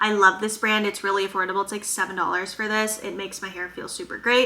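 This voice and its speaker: Someone talks at a very fast pace with a slight Minnesotan accent, amid noticeable background noise. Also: woman, medium pitch for a woman. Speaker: chiropractor and vlogger. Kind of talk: casual Q&A vlog. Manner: animated.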